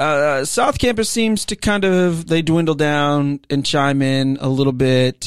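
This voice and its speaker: An unremarkable speaking voice from a man, fairly high in pitch, with ordinary pitch variation, very even loudness, a fairly slow pace and hardly any pauses, on a very clean recording with a silent background. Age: 30s. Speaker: worship ministry leader, podcast co-host. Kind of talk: casual chat. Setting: small office with sound panels.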